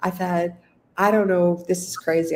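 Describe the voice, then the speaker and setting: A woman with a Canadian accent at a moderate pace. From Canada. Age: 60s. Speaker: business coach and author. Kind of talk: podcast interview. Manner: animated.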